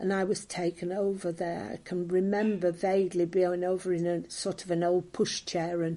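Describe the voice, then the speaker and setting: A woman talks at a moderate pace with hardly any pauses, using a fairly low pitch and a dark, mellow tone. Her intonation stays monotone and flat. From northern England, Merseyside (Ainsdale, Sefton). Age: 80s+. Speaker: local elder recalling wartime memories. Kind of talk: oral history interview. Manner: hesitant, many fillers.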